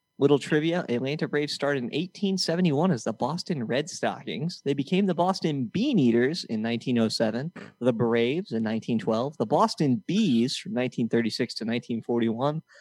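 Over a quiet background, a man talks at a fairly slow pace in an ordinary speaking voice, fairly high in pitch, with a dry, close sound and no echo. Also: lively intonation, hardly any pauses. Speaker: podcast co-host and game show host. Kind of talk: mock game show hosting, reading trivia clues and announcing scores. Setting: studio. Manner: teasing, jokey.

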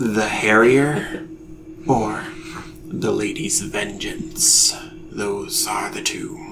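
A soft-spoken man in a put-on character voice, fairly high-pitched, talks at a very slow pace with long, frequent pauses over clear background noise. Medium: actual play. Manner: slow, brooding, cryptic.

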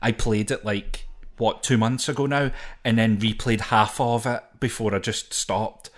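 A man's medium-pitched voice holds fairly even intonation as he talks at a moderate pace. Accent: Scottish. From Scotland. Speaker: podcast co-host. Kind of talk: casual chat about a video game. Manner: joking, laughs often.

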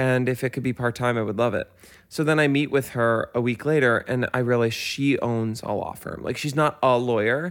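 In a normal speaking voice, a man with an American accent talks at a moderate pace and medium pitch with fairly even intonation. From New York, Westchester. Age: 30s. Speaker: podcaster. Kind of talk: casual chat.

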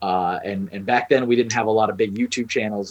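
A man talks in an American accent with an unremarkable speaking voice, fairly low in pitch. His intonation stays fairly even against a quiet background. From Texas. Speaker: freelance artist. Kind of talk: casual chat.

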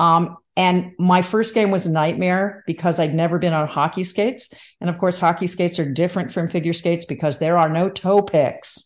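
A woman with an ordinary speaking voice in an American accent, fairly low in pitch, at a moderate pace with fairly even intonation and hardly any pauses. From New Jersey. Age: 60s. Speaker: former sports anchor and umpire, professor. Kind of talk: interview chat.

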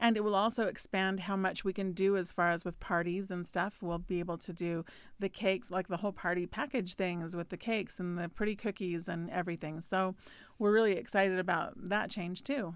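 A woman speaks at a fairly quick pace in an ordinary speaking voice, medium in pitch with fairly even intonation. The recording is very clean, with a silent background. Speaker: baker and podcast co-host. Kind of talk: casual chat.

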